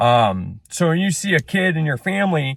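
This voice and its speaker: Loud and fairly high-pitched, a man speaks with very wide pitch swings in a dry, close sound with no echo, the recording very clean and the background silent. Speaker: small business owner and vlogger. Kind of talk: casual rant monologue. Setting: in a truck.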